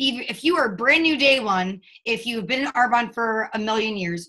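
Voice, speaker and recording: Her voice is fairly high for a woman, with a bright, sharp tone and ordinary pitch variation. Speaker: network marketing team leader. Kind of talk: motivational talk on a team call. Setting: conference call. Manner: fast.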